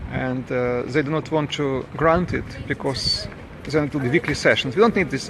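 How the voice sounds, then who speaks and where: This man has a Russian accent and a fairly high pitch, speaking at a moderate pace. Noticeable background noise sits behind him. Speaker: campaigning father. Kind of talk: protest monologue to camera. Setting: outdoors on a street. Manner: halting.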